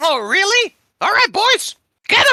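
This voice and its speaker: A shouted, squeaky put-on character voice at an extremely high pitch and a moderate pace. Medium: actual play. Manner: shouty, insistent.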